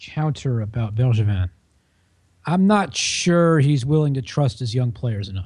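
A man's somewhat breathy, medium-pitched voice with an American accent, a fairly slow pace and very wide pitch swings. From Washington DC area, US. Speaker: sports journalist. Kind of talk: podcast panel discussion. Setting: at the office.

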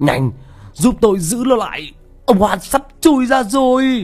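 A put-on character voice, fairly slow and slightly mellow in tone, with big pitch swings and faint music in the background. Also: man, extremely high pitch for a man.

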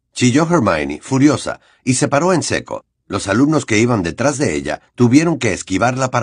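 With lively intonation and a quiet background, someone reads aloud in a natural voice.

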